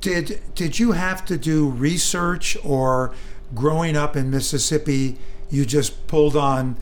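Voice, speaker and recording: With an American accent, a man speaks at a fairly high pitch with ordinary pitch variation over noticeable background noise. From Northern California, East Bay. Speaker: radio host, book reviewer. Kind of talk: interview. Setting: radio studio. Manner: halting, many fillers.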